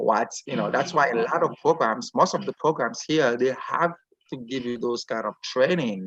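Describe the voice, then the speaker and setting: Speaking at a moderate pace with a non-native accent, a man with a medium-pitched voice uses lively intonation in a dry, close recording with no echo. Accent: foreign. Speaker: physician. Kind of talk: interview.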